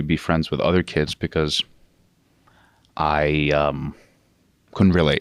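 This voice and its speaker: A man's very deep, low voice in a Russian accent, monotone and flat, with a dry, close sound with no echo on a very clean recording over a silent background. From New York State, USA. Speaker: actor and former cook. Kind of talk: podcast interview.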